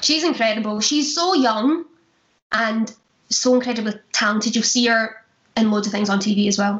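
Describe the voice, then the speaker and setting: A woman's somewhat breathy, fairly high voice at a moderate pace, with ordinary pitch variation and very even loudness. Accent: Glaswegian. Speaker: stage actress, musical theatre performer. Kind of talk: casual interview chat.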